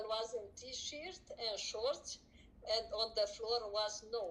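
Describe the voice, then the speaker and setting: A woman's fairly high voice in a Romanian accent, very slow, with ordinary pitch variation. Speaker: streamer's mother. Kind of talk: casual chat. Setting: live stream. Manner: halting.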